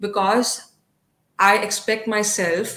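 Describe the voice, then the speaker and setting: This woman's voice sits at a medium pitch and has a bright, sharp tone. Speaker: psychology lecturer and psychotherapist. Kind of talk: online workshop talk. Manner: halting, many fillers.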